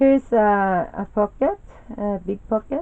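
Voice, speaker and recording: Very slow speech in a Norwegian accent. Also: woman. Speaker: crafter. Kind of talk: show-and-tell tutorial. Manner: halting, many fillers.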